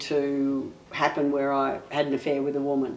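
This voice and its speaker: A woman speaks with an Australian accent. Noticeable background noise can be heard. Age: 60s. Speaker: interviewee, senior LGBTI community member. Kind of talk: personal testimony.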